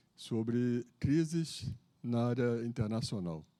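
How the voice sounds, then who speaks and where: A man with a Rio de Janeiro accent speaks at medium pitch in a dark, mellow tone on a very clean recording with a silent background. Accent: Carioca Brazilian Portuguese. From Brazil, Rio de Janeiro. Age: 70s. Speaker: lecturer, retired naval officer. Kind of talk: lecture. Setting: stage with audience. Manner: casual, joking.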